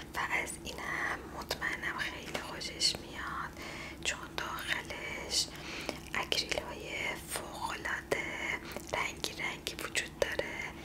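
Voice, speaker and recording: A soft-spoken woman whispers at a very slow pace against loud background noise. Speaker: presenter. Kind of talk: soft product showcase talk, ASMR-like. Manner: soft ASMR whisper, close to mic. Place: home room.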